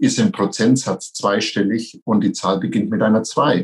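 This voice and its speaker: At a moderate pace, a man speaks with lively intonation and a somewhat breathy voice. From Franconia, near Nuremberg. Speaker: franchise company executive. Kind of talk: interview.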